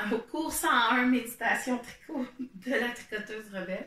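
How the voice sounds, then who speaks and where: With a Quebec accent, a woman speaks at a very slow pace with ordinary pitch variation over noticeable background noise. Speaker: knitting podcaster and meditation guide. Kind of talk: casual explanatory talk to camera. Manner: hesitant, many fillers. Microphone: poor home recording setup.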